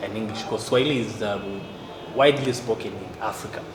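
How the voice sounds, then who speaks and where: Medium in pitch with fairly even intonation, a man speaks amid noticeable background noise and audible room echo. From South Sudan. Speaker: poet. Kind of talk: interview. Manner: halting.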